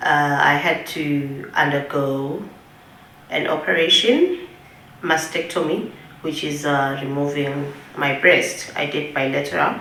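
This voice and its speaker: A woman with a Swazi accent speaks very deep and low at a fairly slow pace with fairly even intonation, amid audible room echo and noticeable background noise. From Eswatini. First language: siSwati. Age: 30s. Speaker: breast cancer survivor. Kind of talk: testimony.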